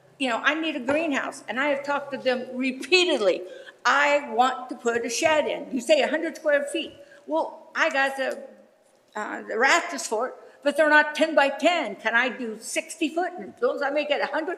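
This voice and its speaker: Against noticeable background noise, a woman with an American accent speaks at a moderate pace and high pitch with ordinary pitch variation. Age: 70s. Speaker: resident speaking at public comment. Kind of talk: public comment at a township meeting. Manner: animated.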